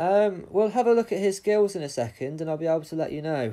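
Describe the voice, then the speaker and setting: Dark and mellow in tone, a man speaks with a British accent. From England. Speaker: gaming streamer. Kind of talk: livestream Q&A. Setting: live stream, wireless. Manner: casual, hesitant with frequent ums.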